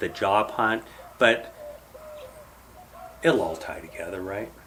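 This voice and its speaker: Recorded with noticeable background noise, a man's fairly low-pitched voice moves at a moderate pace with ordinary pitch variation. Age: 50s. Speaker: software engineer. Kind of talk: casual chat.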